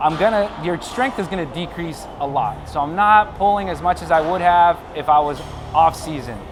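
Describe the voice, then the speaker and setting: Over noticeable background noise and audible room echo, a man with a high pitch speaks at a fairly slow pace with ordinary pitch variation. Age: 30s. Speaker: fitness vlogger and bodybuilding competitor. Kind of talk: workout tutorial.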